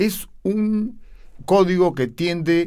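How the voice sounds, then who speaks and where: This man speaks with a Peruvian accent. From Peru, Lima (Miraflores). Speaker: opera tenor. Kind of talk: interview.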